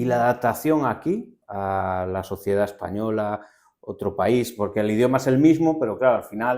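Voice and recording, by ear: A man with a Galician accent speaks at a medium pitch and a moderate pace. The recording is very clean, with a silent background.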